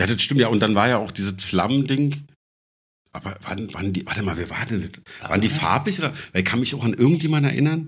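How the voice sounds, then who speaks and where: This man's medium-pitched, somewhat breathy voice moves at a fairly quick pace with lively intonation. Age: 40s. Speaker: bass player and stick-and-poke tattooist. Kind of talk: casual chat.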